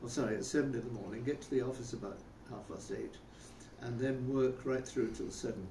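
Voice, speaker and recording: A man with a British accent and a medium pitch talks at a fairly quick pace with fairly even intonation, and audible room echo surrounds him. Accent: older English (British). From England, Rugby (English Midlands). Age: 90s. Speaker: interviewee recounting life story. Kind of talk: casual interview, life reminiscence. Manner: hesitant, with many fillers and repetitions.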